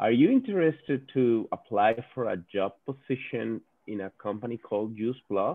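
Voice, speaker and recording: A man at a medium pitch with a Spanish accent. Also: ordinary pitch variation, moderate pace. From Venezuela. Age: 40s. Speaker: business executive. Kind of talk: webinar talk. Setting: video call. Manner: halting, repeats words.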